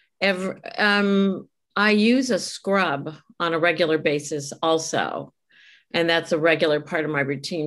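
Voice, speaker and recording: A plain, everyday voice at a fairly slow pace with ordinary pitch variation, on a very clean recording with a silent background. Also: woman. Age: 60s. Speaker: retired community board member. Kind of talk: interview.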